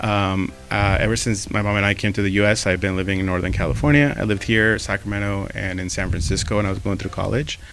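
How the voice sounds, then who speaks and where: Speech with a Mexican accent comes at a very fast pace with hardly any pauses and ordinary pitch variation. Audible room echo and noticeable background noise surround it. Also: man, fairly low pitch for a man. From Mexico. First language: Spanish. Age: 30s. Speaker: podcast co-host, photographer, marketer. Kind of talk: casual chat.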